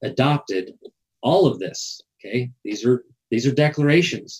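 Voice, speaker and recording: Speaking at a fairly slow pace, the man has an ordinary speaking voice with ordinary pitch variation. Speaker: legal education show host. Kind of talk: live show monologue explaining historical documents. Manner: casual, with fillers and repetitions.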